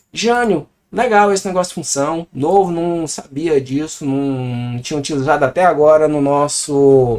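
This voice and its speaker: In a Brazilian accent, a man speaks at a fairly slow pace with a fairly high pitch and lively intonation. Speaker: programming teacher. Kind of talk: tutorial. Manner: casual.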